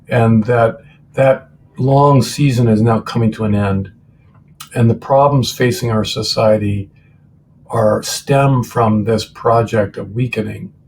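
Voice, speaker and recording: This man's voice is somewhat breathy, with a medium pitch and an American accent. He talks at a fairly slow pace with fairly even intonation. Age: 60s. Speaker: author and former professor. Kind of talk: interview. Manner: hesitant, many fillers.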